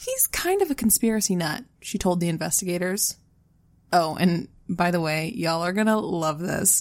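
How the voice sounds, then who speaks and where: A woman with a plain, everyday voice, fairly low in pitch with ordinary pitch variation, speaks at a moderate pace on a very clean recording with a silent background. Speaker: true crime podcast co-host. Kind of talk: casual storytelling of a true crime case.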